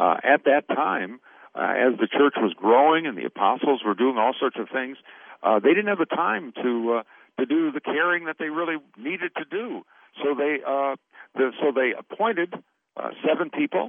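A man speaks in a plain, everyday voice at a fairly high pitch. He keeps a moderate pace with lively intonation. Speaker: pastor and lay caregiver trainer. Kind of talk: interview.

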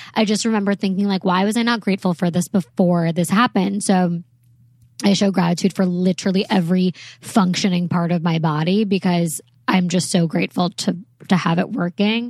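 A somewhat breathy woman at a fairly quick pace, against a quiet background. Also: medium pitch for a woman, dry, close sound with no echo. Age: 20s. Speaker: podcast co-host. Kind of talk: casual chat.

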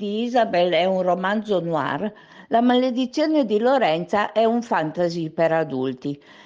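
This woman's delivery is fairly slow. Very wide swings run through her pitch. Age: 50s. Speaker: novelist. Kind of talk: radio interview.

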